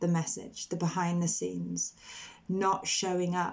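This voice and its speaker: In a British accent, a woman speaks at a fairly low pitch. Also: very clean recording, silent background. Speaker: motherhood coach. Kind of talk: personal vlog update. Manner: slow, deliberate.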